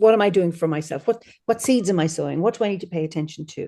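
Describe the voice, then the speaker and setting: A woman with an Irish accent talks at a very fast pace with lively intonation and a dark, mellow tone. The background is quiet. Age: 60s. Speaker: druid leader and celebrant. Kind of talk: casual interview.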